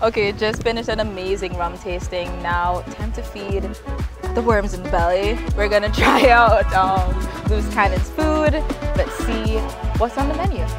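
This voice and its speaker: A woman speaks at a moderate pace over clear music in the background, the sound dry with no echo. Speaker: vlogger. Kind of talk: casual vlog chat. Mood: relaxed, chatty. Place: beach. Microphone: lapel.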